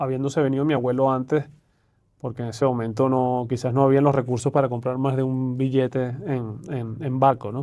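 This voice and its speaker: In a Venezuelan accent, a man at a medium pitch talks at a fairly quick pace in a dark, mellow tone with monotone, flat intonation. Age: 40s. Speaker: private banker, investment manager. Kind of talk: podcast interview.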